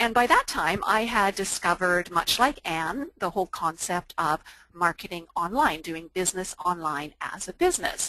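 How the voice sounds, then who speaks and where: A woman speaks with a bright, sharp tone and hardly any pauses. The sound is dry with no echo. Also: ordinary pitch variation, moderate pace, quiet background. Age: 50s. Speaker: online entrepreneur and fitness instructor. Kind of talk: webinar presentation. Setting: online webinar. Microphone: video call.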